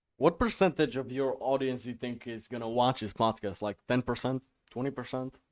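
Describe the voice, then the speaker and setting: A man with a non-native accent talks at a fairly quick pace and medium pitch, his intonation fairly even, in a dry, close sound with no echo. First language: not English. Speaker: podcast host. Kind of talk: casual podcast interview. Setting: video call.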